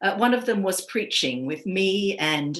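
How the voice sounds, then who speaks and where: Her bright, sharp tone comes at a moderate pace, with the woman's pitch sitting in the medium range. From Australia, east coast. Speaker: priest. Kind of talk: personal testimony talk. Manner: measured, with frequent fillers.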